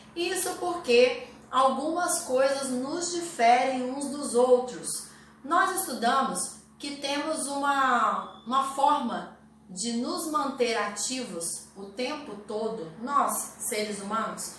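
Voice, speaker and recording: Amid audible room echo and noticeable background noise, a woman speaks at a very slow pace in a high pitch, with lively intonation and big swings in loudness. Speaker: health and nutrition youtuber. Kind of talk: educational talk to camera.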